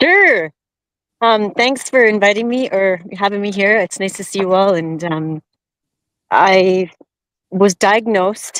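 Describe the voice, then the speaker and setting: Talking at a moderate pace, a woman uses a medium pitch with ordinary pitch variation. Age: 50s. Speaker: carnivore diet guest with diabetes. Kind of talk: personal story in a live stream chat. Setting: live stream video call while out walking. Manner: halting, with many false starts.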